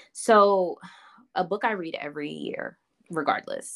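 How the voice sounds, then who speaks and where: A woman speaking very slowly with ordinary pitch variation, dry and close with no echo, on a very clean recording with a silent background. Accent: American. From Baltimore, Maryland, US. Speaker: fashion stylist and creative director. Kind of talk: casual chat.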